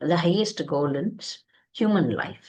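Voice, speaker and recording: A woman talks with an Indian accent and vocal fry. Her pitch swings very widely. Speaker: spiritual teacher. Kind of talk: lecture. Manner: halting.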